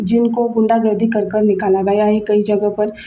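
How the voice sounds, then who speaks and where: A woman speaks with a Marathi accent. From Maharashtra, India. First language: Marathi (speaking Hindi). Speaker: video blogger. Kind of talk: opinion monologue. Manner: halting, with fillers and restarts.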